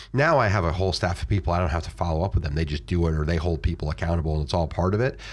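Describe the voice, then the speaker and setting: A man with an American accent talks very fast in a very deep, low voice with vocal fry. His intonation is lively. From Florida. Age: 40s. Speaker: real estate investor. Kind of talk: interview. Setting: studio.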